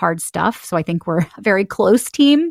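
An American accent from a woman with vocal fry, at a moderate pace, in a dry, close sound with no echo on a very clean recording with a silent background. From Texas, Houston. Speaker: podcast host and media executive. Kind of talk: interview conversation.

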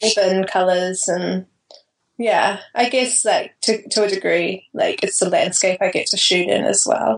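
A woman with a New Zealand accent talks at a fairly slow pace. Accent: Kiwi. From New Zealand (Auckland), born in Australia. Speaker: wedding photographer. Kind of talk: casual interview chat. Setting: remote call.

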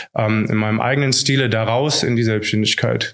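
Audible room echo surrounds a man speaking at a moderate pace and medium pitch. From Hesse, Germany (Idstein). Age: 30s. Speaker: teacher and digitalization consultant. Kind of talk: interview. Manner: hesitant, many fillers.

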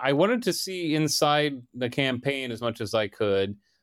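A man speaks in an ordinary speaking voice with an American accent, fairly high pitch, and lively intonation. The recording is very clean with a silent background. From Delaware, US. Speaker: political reporter. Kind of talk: interview.

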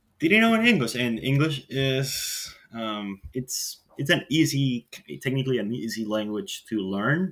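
A man speaks at a medium pitch with a bright, sharp tone. His intonation is lively and his pace fairly slow.

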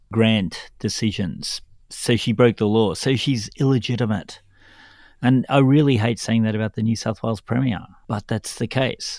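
An Australian-accented man at a medium pitch and moderate pace, with fairly even intonation, on a very clean recording with a silent background. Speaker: podcast co-host. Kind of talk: political commentary podcast.

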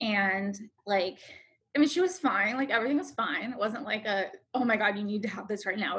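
At a fairly quick pace, a woman with an American accent uses an ordinary speaking voice with ordinary pitch variation. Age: 30s. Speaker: founder of a women's health tech company. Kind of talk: casual chat.

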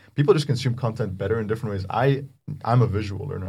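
A man speaks very fast at a medium pitch, his voice somewhat breathy. His pitch varies in an ordinary way. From Egypt, Cairo. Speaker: AI startup co-founder. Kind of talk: casual interview. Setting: studio.

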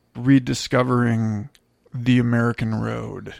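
Medium pitch from a man, captured on a very clean recording with a silent background. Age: 30s. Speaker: podcast host. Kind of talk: casual chat. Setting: in-person recording sitting on a bed.

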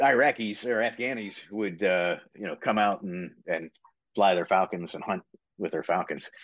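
With an American accent, a man speaks in a normal speaking voice at a fairly low pitch, a moderate pace, and ordinary pitch variation. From Virginia / West Virginia border, US. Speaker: retired Marine, military training director. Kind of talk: casual interview.

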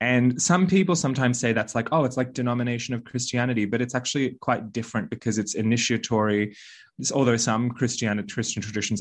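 A man with an Australian accent talks at a very fast pace. His pitch is medium, with ordinary variation. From Australia (Balinese Australian, raised in Australia and Bali). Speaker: witch and spiritual teacher. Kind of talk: interview conversation.

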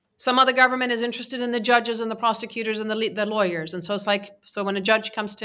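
On a very clean recording with a silent background, a woman with a Persian accent speaks at a very fast pace in a medium pitch, her tone bright and sharp and her intonation fairly even. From Iran. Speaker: nonprofit leader. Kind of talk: interview discussion.

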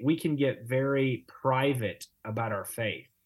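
Somewhat breathy and medium in pitch, a man's voice carries the words. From Louisiana. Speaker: pastor and author. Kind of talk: casual interview on theology.

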